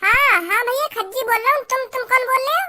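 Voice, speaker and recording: A woman in a cartoonish character voice, squeaky and pitched extremely high. She talks very fast with ordinary pitch variation. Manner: stammering, rambling, whiny.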